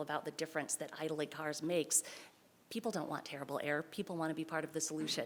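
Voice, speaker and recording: Against noticeable background noise, a woman speaks with monotone, flat intonation. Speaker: council seat applicant. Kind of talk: public comment statement. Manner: fast.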